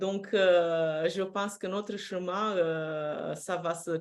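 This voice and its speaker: A woman with a Romanian accent speaks at a fairly low pitch. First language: Romanian (speaking French). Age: 50s. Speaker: personal development coach. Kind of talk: live-streamed interview. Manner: hesitant, frequent fillers.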